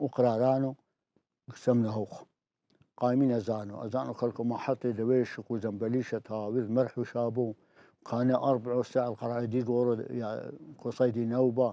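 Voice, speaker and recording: Here a man's voice has a dark, mellow tone and a monotone, flat intonation. The pace is moderate and the sound is dry with no echo. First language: Turoyo (Neo-Aramaic) (speaking Arabic). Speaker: elderly storyteller recounting village history. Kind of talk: oral history interview. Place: studio. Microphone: lapel.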